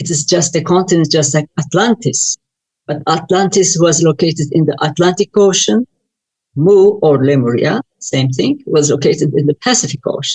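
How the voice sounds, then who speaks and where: With a Turkish accent, a woman speaks at a moderate pace in a fairly low, somewhat breathy voice with lively intonation, the sound dry and close with no echo. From Turkey. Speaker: UFO researcher and author. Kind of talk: interview.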